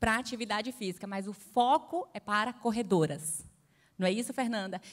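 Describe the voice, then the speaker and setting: Speaking in a Bahian accent, a woman uses a fairly high pitch, ordinary pitch variation and a moderate pace. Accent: Bahian Brazilian Portuguese. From Bahia, Brazil. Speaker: panel moderator. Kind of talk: panel discussion.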